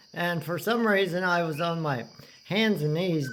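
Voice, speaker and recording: A man at high pitch, speaking at a moderate pace in audible room echo. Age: 60s. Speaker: storyteller recounting hospital stay. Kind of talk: casual personal storytelling. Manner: halting, many fillers and restarts.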